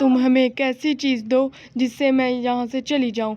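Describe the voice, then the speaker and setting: In a cartoonish character voice, the speaker cackles at a moderate pace. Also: woman, high pitch for a woman. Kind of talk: spooky kids' story villain. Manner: cackling, menacing.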